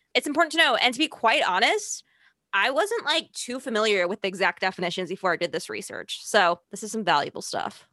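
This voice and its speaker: With a slight Chicago accent, a woman talks at a fairly quick pace and fairly high pitch, her bright, sharp tone swinging very widely in pitch, recorded dry and close with no echo against a quiet background. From Chicago, US Midwest. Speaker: podcast host. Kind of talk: casual chat.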